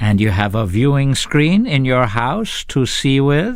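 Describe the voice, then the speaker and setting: A man puts on a robotic character voice at a medium pitch and a fairly slow pace. Noticeable background noise runs underneath. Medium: read story. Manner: cold, clipped, interrogating.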